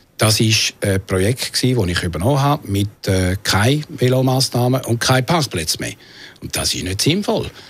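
Lively intonation marks a man's somewhat breathy voice at medium pitch. He speaks at a moderate pace. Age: 60s. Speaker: city councillor. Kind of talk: radio interview. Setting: studio.

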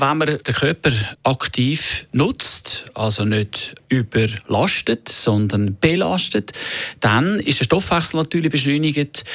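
In a dry, close sound with no echo, a man speaks very slowly at a fairly high pitch with lively intonation. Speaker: personal trainer. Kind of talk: radio interview.

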